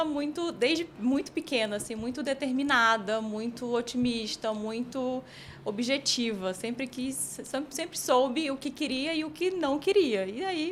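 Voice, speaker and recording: This voice moves at a fairly slow pace with lively intonation. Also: woman. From Piauí, northeastern Brazil (Teresina). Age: 30s. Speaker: team manager. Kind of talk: interview testimony.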